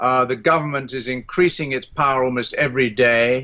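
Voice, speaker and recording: With a British RP accent, a man speaks at a medium pitch and a fairly quick pace. His tone is bright and sharp. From England. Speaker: economist and former politician. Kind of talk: interview. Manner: hesitant, many fillers.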